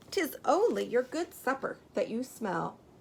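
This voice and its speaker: Putting on a character voice, a woman speaks in a shaky, high pitch at a moderate pace. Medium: read story. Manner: anxious, quavering.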